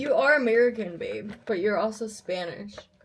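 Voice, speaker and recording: Music plays in the background as a woman talks in an animated tone. Her medium pitch shows ordinary variation, and her pace is moderate. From Russian-speaking family in the US. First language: Russian. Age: 20s. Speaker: vlogger and singer. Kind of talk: casual vlog talk.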